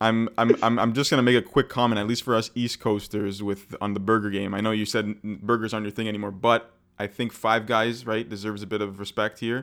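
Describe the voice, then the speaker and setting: In a Montreal accent, the speaker rushes along at a very fast pace with hardly any pauses and monotone, flat intonation on a very clean recording with a silent background. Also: man, fairly low pitch for a man. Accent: Montreal Canadian English. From Canada, Montreal. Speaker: podcast co-host. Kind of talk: casual chat.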